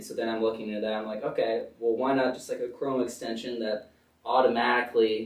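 Very fast speech with audible room echo. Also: man. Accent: American. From Connecticut. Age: young. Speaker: college student and startup founder. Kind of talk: casual interview.

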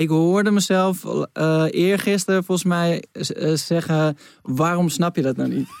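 A man speaks at a high pitch and a fairly slow pace, with fairly even intonation and very even loudness. The sound is dry and close, with no echo. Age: 30s. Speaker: podcast host. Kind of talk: casual chat.

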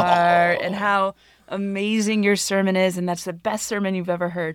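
A woman speaks at a moderate pace with a fairly low voice. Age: 40s. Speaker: pastor and podcast co-host. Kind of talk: casual chat. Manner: animated.

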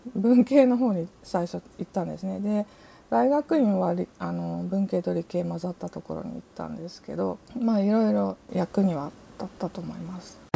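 Loudness swings widely as the speaker moves along at a moderate pace. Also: woman. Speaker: artist and writer. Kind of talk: interview.

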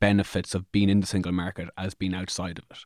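In an Irish accent, a man speaks at a fairly low pitch with monotone, flat intonation. The sound is dry and close with no echo, on a very clean recording with a silent background. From Ireland. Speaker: podcast host. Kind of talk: casual chat.

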